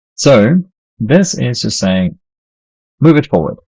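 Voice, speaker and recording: A man mumbles in a somewhat breathy voice with lively intonation. The sound is dry and close, with no echo. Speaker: game developer streamer. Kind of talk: live coding stream. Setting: live stream. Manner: mumbling; halting.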